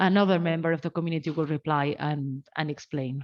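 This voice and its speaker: A woman speaks in a non-native accent at a fairly low pitch. Her pitch variation is ordinary, and the background is quiet. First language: not English. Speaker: academic researcher presenting a talk. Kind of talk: research seminar presentation. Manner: hesitant, many filler sounds.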